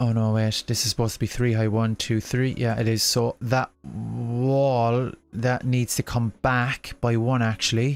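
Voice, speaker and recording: A man speaks at a fairly slow pace in a monotone, flat intonation, with very even loudness and hardly any pauses. The recording is very clean, with a silent background and a dry, close sound with no echo. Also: medium pitch for a man. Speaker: gaming livestreamer. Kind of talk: casual livestream chat. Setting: home livestream, baby asleep.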